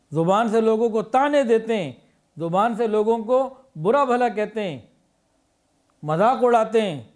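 The voice has ordinary pitch variation, and the background is quiet. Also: man. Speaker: speaker. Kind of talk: sermon. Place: studio. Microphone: studio mic.

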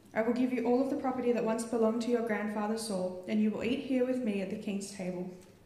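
A woman speaks at a fairly high pitch with fairly even intonation, and the room echo is audible. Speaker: church member reading scripture. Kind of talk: reading aloud. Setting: church. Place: church. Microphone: handheld.

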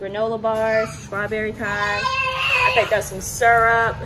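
A woman's voice against crowd noise in the background. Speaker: vlogger. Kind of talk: casual vlog chat. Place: kitchen. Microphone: phone near.

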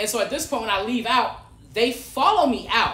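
Projecting a raised voice at an extremely high pitch, a man speaks at a moderate pace amid audible room echo. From Detroit. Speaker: podcast guest. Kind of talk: casual chat. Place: home room. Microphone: camera far.

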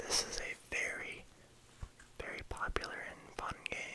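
A man whispering at a very slow pace. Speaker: ASMR creator. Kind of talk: ASMR video game collection show-and-tell, casual talk to camera. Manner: soft-spoken. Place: home room. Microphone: phone near.

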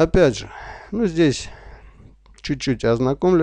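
His intonation is lively, and this man's tone is dark and mellow. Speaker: online business vlogger. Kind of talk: screen-share tutorial. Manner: slow; unscripted, halting.

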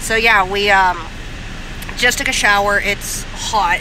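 A woman speaks in a monotone, flat intonation. There is noticeable background noise, and the sound is dry with no echo. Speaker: travel vlogger. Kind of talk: casual vlog chat. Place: car. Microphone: phone near.

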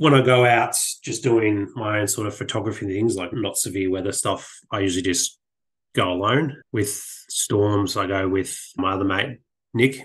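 A man with an Australian accent and a somewhat breathy voice talks at a moderate pace and fairly low pitch, with ordinary pitch variation, against a quiet background. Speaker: landscape and weather photographer. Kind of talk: casual interview.

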